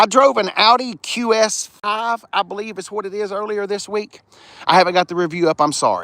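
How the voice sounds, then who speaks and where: Speaking with a Southern US accent, a man uses a raised, projected voice that is high in pitch, bright and sharp, with an animated tone, ordinary pitch variation, a fairly quick pace and a dry, close sound with no echo. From US South. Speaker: car reviewer. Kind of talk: live stream car walkaround. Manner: casual, animated.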